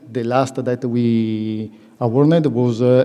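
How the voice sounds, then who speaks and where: In a strong Italian accent, a man speaks at a medium pitch with fairly even intonation. Noticeable background noise and audible room echo fill the recording. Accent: self-described strong Italian. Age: under 45. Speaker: young managers' association representative. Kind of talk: public presentation. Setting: conference hall with audience. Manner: halting, many fillers.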